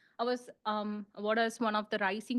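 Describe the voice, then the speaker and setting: A woman's fairly high voice in a monotone, flat intonation. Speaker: international student, club member. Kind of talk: presentation to a club. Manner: halting, many fillers.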